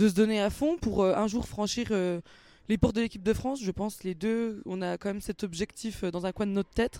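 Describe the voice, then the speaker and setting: A woman's fairly high, dark, mellow voice at a moderate pace, with ordinary pitch variation and a dry, close sound free of echo. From Franche-Comté, Doubs (Mont-Benoît). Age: 20s. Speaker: rugby player and student. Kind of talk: interview. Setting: rugby stadium.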